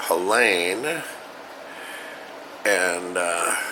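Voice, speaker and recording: A man talks with an American accent. Audible room echo and noticeable background noise surround him. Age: 70s. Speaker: property owner recording personal storm account. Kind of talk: casual personal monologue. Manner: halting, many fillers.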